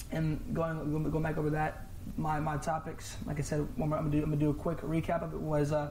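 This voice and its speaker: A man with an American accent at a fairly high pitch and a very fast pace, monotone and flat, with audible room echo and noticeable background noise. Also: very even loudness. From Virginia, US. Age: 20s. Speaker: college wrestler. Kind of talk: casual chat.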